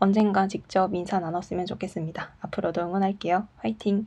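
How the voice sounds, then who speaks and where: A dark, mellow tone with a nervous edge, at a moderate pace. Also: woman. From South Korea, Daegu. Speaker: Korean language teacher and podcast host. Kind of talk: casual solo talk reading listener messages. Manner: nervous, laughs often.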